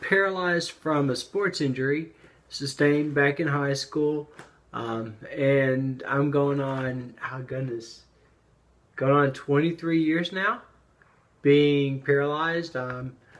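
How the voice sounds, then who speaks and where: This man's voice sits fairly high and moves with ordinary pitch variation. He talks very slowly, with long, frequent pauses. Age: 40s. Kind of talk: personal testimony. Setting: home office. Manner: hesitant, many fillers.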